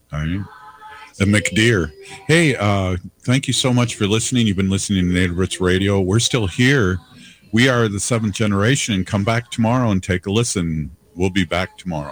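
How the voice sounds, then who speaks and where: Over noticeable background noise, a man with an American accent talks at a fairly quick pace, his fairly low pitch showing ordinary variation. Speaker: radio host. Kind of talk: casual radio chat. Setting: radio studio.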